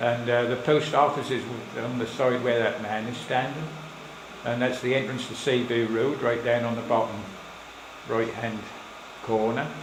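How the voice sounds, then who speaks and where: A man with a Suffolk accent speaks at a moderate pace in a medium pitch, his intonation monotone and flat, with long, frequent pauses and noticeable background noise. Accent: Suffolk burr. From Suffolk, England. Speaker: local historian. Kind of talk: live slideshow talk to an audience. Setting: village hall, live audience.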